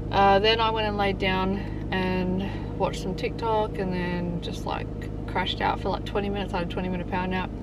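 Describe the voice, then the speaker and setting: A woman is heard with noticeable background noise. The sound is dry, with no echo. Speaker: parent vlogger. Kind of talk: casual vlog chat. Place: car.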